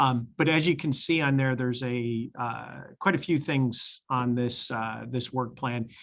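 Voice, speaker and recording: In an ordinary speaking voice, a man at medium pitch talks at a fairly slow pace with hardly any pauses and ordinary pitch variation, on a very clean recording with a silent background. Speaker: transit agency executive. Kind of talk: board meeting report.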